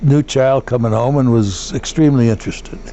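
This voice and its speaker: With an American accent and a fairly high pitch, a man speaks with ordinary pitch variation over noticeable background noise. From US Midwest, St. Louis area, Missouri. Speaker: war veteran. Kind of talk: oral history interview. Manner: halting, with fillers.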